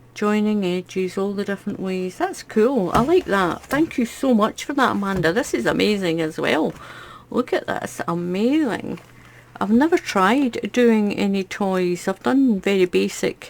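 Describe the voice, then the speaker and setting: With a Scottish accent, a woman speaks fairly slowly at medium pitch. Her intonation is lively, and there is noticeable background noise. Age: 60s. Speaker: crochet YouTuber. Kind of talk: casual unboxing chat.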